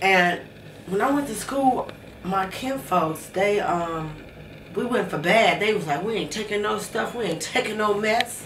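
A woman talks at a fairly slow pace in a medium pitch with ordinary pitch variation. Audible room echo and light background noise are present. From Chicago, US Midwest. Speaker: interviewee telling her life story; interviewee. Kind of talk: life story interview. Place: home room.

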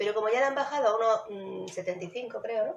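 A woman talks at a very fast pace amid light background noise and audible room echo. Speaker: YouTube vlogger. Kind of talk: casual chat, shopping haul. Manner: soft-spoken, quiet; animated. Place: kitchen. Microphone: phone near.

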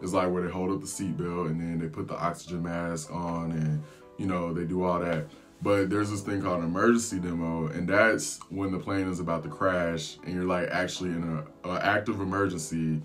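Faint music plays behind a man with a very deep, low pitch. He speaks at a fairly quick pace in a monotone, flat intonation. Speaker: flight attendant vlogger. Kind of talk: casual vlog storytelling. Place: home room.

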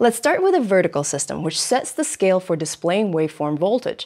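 Over a quiet background, a woman speaks at a fairly quick pace with very wide pitch swings. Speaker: presenter host. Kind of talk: tutorial. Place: studio.

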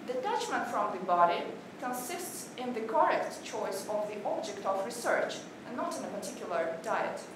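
With clear background noise and audible room echo, the voice moves at a moderate pace through big pitch swings. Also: woman.

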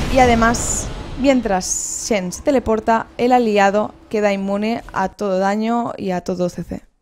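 Fairly even intonation at a fairly slow pace, with light background noise. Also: woman. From Spain. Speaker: video game presenter; presenter. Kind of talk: video game tutorial. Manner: halting, frequent repetitions. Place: home room. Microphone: headset.

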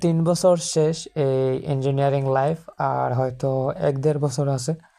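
On a very clean recording with a silent background, a woman speaks at a very deep, low pitch in a dark, mellow tone with fairly even intonation. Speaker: travel vlogger and polytechnic student. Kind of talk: vlog narration. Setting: outdoors on a bike.

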